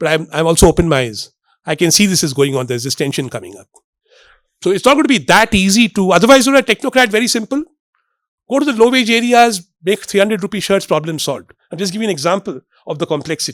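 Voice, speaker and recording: In a very clean recording with a silent background and a dry, close sound with no echo, a man with an Indian accent talks in a high pitch at a very fast pace, with an animated tone, very wide pitch swings and big swings in loudness. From India, Bombay. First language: Marathi. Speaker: economist. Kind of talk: public lecture. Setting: stage with audience.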